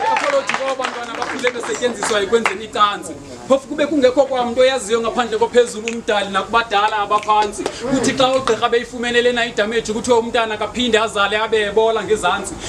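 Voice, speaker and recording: With noticeable background noise, a man with an extremely high pitch speaks at a very fast pace, with hardly any pauses and fairly even intonation. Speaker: performance poet. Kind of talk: spoken word poetry performance.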